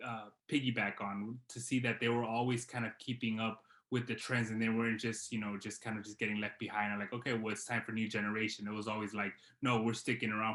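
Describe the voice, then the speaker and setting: A man with a Californian accent talks very fast in a medium pitch, his bright, sharp tone delivered in a monotone, flat intonation. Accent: Californian American English. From Los Angeles, US West Coast. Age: 30s. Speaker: artist. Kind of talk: podcast interview. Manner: halting, many fillers.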